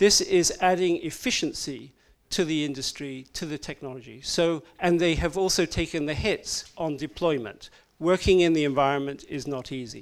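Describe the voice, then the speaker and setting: A man speaks at a high pitch and a moderate pace, with ordinary pitch variation. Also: very clean recording, silent background. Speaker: offshore wind industry advocate. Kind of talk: panel presentation. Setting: stage with audience.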